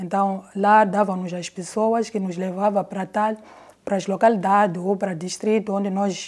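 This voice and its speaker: A woman speaks in a monotone, flat delivery at a moderate pace over a quiet background. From Mozambique, Gaza province (Xai-Xai); Gaza province, Mozambique. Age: 50s. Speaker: retired film editor and mobile cinema projectionist. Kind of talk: interview testimony. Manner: halting, with repetitions. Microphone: lapel.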